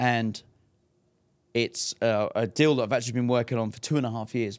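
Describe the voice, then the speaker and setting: Very clean and silent in the background, this recording has a man with an English accent at medium pitch and fairly even intonation. He talks at a fairly quick pace, leaving long, frequent pauses. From England. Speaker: fight promoter. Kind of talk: casual interview. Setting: in person.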